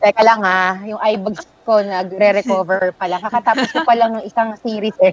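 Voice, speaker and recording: A woman with an unremarkable speaking voice talks at a fairly quick pace. Her pitch is medium and her intonation fairly even. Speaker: country manager, guest curating a playlist. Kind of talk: casual chat. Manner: playful, lots of laughter.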